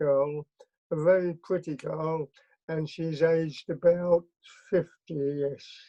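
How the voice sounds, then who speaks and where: A man's high voice in an English accent, with fairly even intonation, at a very slow pace. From England. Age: 70s. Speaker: interview guest recounting his life. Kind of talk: interview. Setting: video call. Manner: halting. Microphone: connection issues.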